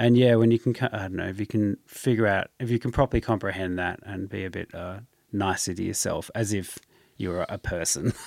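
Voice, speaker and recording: A man's fairly low voice with an Australian accent, fairly quick delivery, dry and close without echo, on a very clean recording over a silent background. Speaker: podcast host. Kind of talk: casual chat. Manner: animated.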